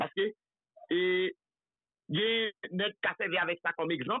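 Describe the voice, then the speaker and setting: In a Haitian accent, a man talks at a fairly slow pace and a high pitch, recorded dry with no echo over a quiet background. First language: Haitian Creole (speaking French). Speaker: political commentator. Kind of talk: political talk show discussion. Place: studio.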